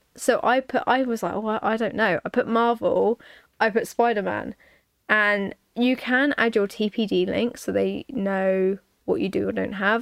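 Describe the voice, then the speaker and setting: Her pitch fairly high, a woman speaks with a British accent. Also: ordinary pitch variation, fairly slow pace, dry, close sound with no echo, very clean recording, silent background. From United Kingdom. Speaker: podcast host. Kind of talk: casual chat.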